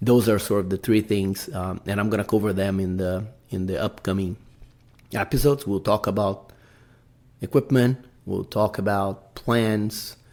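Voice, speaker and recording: A man with a Brazilian accent, fairly low in pitch, at a moderate pace, with fairly even intonation. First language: Portuguese. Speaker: podcast host, amateur mountaineer. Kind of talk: casual podcast monologue. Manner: halting, many fillers.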